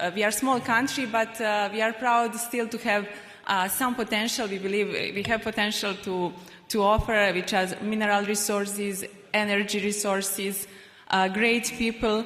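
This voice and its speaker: Heard with audible room echo, a woman speaks in a Serbian accent at a moderate pace, her intonation flat and monotone. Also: medium pitch for a woman. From Republic of Srpska, Bosnia and Herzegovina. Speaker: panel moderator, investment professional. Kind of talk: panel discussion. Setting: stage with audience. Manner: halting, many fillers.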